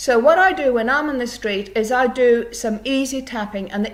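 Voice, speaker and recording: The voice is animated, with lively intonation and a moderate pace. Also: woman. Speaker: EFT tapping coach. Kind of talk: casual vlog tutorial. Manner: halting.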